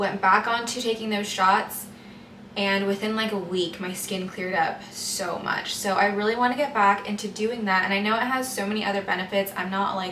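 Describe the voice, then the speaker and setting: The speech moves at a moderate pace with fairly even intonation. Noticeable background noise and audible room echo surround it. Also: woman, medium pitch for a woman. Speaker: lifestyle vlogger. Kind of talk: casual vlog talk to camera. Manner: soft-spoken, talking quietly.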